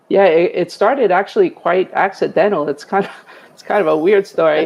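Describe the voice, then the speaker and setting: A woman with a Bronx accent at a fairly quick pace, big swings in loudness, noticeable background noise behind her. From New York City, the Bronx. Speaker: retired EMS chief. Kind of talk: interview testimony.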